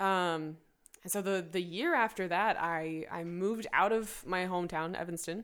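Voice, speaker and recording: At a moderate pace, a woman with an unremarkable speaking voice talks in a medium pitch with fairly even intonation. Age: 20s. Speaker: musician and barista. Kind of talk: casual interview conversation.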